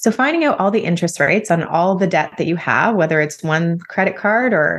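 With a Canadian accent, a woman talks at a fairly quick pace with lively intonation. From Canada, Ontario near Toronto. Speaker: wealth coach. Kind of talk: interview conversation.

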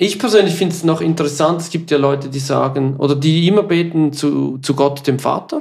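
The speaker talks with a Swiss German accent and hardly any pauses. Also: fairly quick pace. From Switzerland. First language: Swiss German (speaking German). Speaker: podcast co-host. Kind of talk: casual chat.

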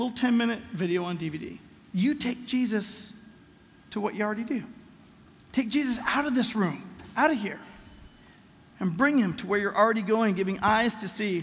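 A man with an American accent, high-pitched, at a moderate pace with ordinary pitch variation, long, frequent pauses, and audible room echo. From Los Angeles, US West Coast. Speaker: pastor. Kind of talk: sermon. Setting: church.

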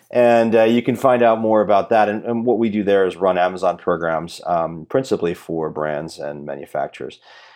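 A man with an unremarkable speaking voice, fairly low pitch and ordinary pitch variation, fairly quick pace with hardly any pauses, and a quiet background. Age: 40s. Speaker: e-commerce strategist and author. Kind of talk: casual interview.

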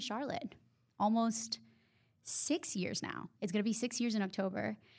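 With a Honduran accent, a woman talks at a fairly high pitch and a fairly even intonation over a silent background in a very clean recording. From Honduras. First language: Spanish. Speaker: podcast co-host. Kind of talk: casual chat, podcast intro.

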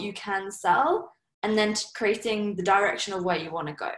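At a fairly quick pace, a woman of medium pitch speaks in a southern English accent. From southern England, Surrey. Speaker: entrepreneur. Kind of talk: interview.

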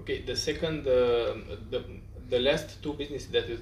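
A Romanian accent with audible room echo. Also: man. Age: young. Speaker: podcast host. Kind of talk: interview. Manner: halting.

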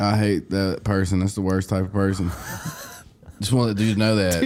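A man with a Southern US accent, fairly low pitch, a fairly quick pace, monotone, flat intonation and very even loudness, against noticeable background noise. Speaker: podcast co-host. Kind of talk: casual, profane.

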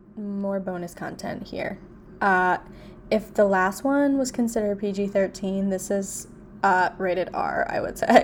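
A woman speaks at a fairly slow pace. Her medium-pitched voice keeps a fairly even intonation. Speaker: podcast co-host. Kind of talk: casual chat. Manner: theatrical, puts on voices.

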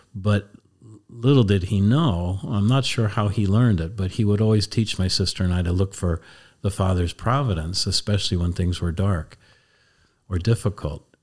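Moderately paced, a man speaks with a fairly low pitch and ordinary pitch variation. His voice is somewhat breathy. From US Northeast (Lancaster County, Pennsylvania). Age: 70s. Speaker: Jesuit priest. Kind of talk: casual chat. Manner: halting.

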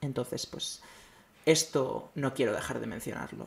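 A normal speaking voice, fairly slow, with ordinary pitch variation. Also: man. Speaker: podcast host. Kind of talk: monologue commentary.

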